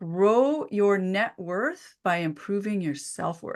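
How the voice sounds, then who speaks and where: A woman speaks at a very slow pace with a bright, sharp tone. The background is quiet. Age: 50s. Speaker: naturopathic doctor and author. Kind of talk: interview.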